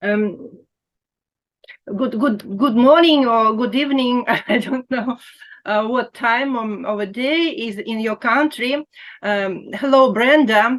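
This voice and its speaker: Speech comes at a very slow pace in a Russian accent, with long, frequent pauses. Pitch variation is ordinary. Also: woman, high pitch for a woman. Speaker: quilting blogger. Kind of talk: interview. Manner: halting.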